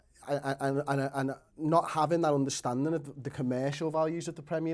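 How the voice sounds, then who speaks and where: Heard on a very clean recording with a silent background, a normal speaking voice moves at a fairly quick pace. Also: man. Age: 30s. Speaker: football fan pundit. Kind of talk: casual debate.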